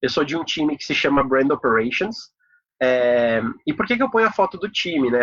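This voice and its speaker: A normal speaking voice at a moderate pace, with lively intonation. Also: man. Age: 30s. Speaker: corporate professional giving a talk. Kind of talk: online talk presentation. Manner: casual, many filler words.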